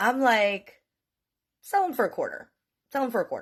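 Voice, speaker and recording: A woman's animated voice with an American accent at a moderate pace over a quiet background. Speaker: storyteller vlogger. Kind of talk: casual storytelling.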